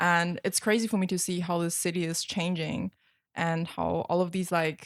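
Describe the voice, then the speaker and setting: In a very clean recording with a silent background, a woman with a slight German accent speaks at a moderate pace in a fairly low pitch, her intonation flat and monotone. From West Germany (Cologne/Dusseldorf area). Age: 20s. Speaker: model and social media creator. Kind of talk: casual chat.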